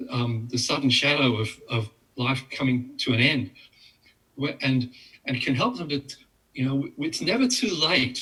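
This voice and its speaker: Bright and sharp in tone, a man speaks with a fairly high pitch. He keeps a moderate pace. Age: 60s. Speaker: psychologist and author. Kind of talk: casual chat. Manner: halting.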